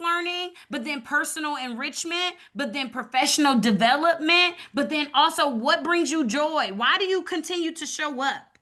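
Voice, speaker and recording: A woman raises and projects her high-pitched voice, using ordinary pitch variation. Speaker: community program leader and evaluator. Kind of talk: webinar presentation. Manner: fast.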